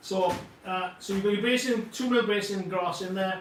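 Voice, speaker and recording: A man with a Welsh accent, amid audible room echo and noticeable background noise. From Wales. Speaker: model scenery company co-founder. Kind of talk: live product demo. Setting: livestream. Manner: animated, casual with frequent fillers.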